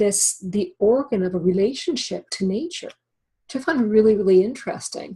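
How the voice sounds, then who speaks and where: A somewhat breathy female voice, medium in pitch, with a dark, mellow tone. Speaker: wellness educator. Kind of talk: webinar talk. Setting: webinar call. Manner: halting.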